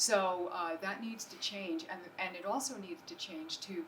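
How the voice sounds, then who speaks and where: Over noticeable background noise, a woman at a medium pitch speaks with lively intonation. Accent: American. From New Jersey. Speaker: acupuncturist and entrepreneur. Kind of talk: business presentation. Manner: fast.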